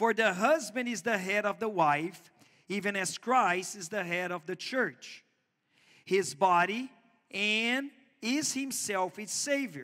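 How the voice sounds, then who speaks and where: A man's high-pitched, raised, projected voice with a Portuguese accent, bright and sharp in tone, at a very slow pace against a quiet background. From Brazil. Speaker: pastor. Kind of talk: sermon. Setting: church. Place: church.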